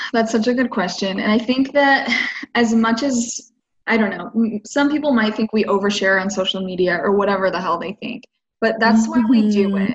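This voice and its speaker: Somewhat breathy and fairly high, a woman's voice with ordinary pitch variation. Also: fairly quick pace. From Idaho, US. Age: 20s. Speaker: podcast guest. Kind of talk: casual chat.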